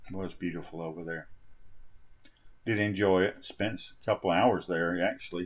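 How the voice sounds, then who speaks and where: A man with a very deep, low pitch and a relaxed tone, at a moderate pace, fairly even intonation, big swings in loudness and long, frequent pauses. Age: 60s. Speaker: travel vlogger. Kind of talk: casual vlog narration. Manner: relaxed, halting with fillers.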